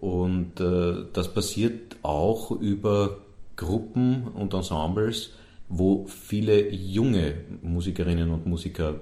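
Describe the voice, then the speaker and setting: Very deep and low in pitch, this man's voice has a dark, mellow tone and is somewhat breathy. He uses ordinary pitch variation, with audible room echo around him. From Vienna, Sievering. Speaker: festival director. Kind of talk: interview. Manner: halting.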